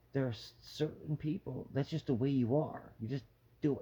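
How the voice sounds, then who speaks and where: A man speaks at a medium pitch in a somewhat breathy way. His tone is dark and mellow. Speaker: vlogger with terminal cancer. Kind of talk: personal vlog monologue. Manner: halting.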